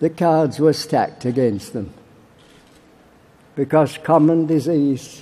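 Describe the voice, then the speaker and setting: A man's fairly high voice in a Yorkshire accent, with fairly even intonation. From Barnsley, Yorkshire, England. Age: 80s+. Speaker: political campaigner. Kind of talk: conference speech.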